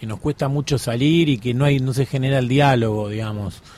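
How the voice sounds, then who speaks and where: A man talks at a fairly quick pace in a normal speaking voice. His pitch is fairly high. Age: 30s. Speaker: documentary journalist. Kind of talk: radio interview.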